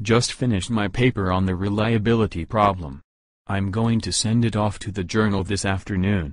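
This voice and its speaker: A man's growling, put-on character voice at fairly low pitch and a moderate pace, over a quiet background. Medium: audio drama.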